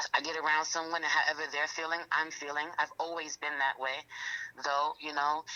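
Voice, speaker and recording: A woman speaks with a New York accent in a very deep, low voice. Her intonation stays flat and monotone. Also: fairly quick pace. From New York, Queens. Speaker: rapper and tarot reader. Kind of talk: interview.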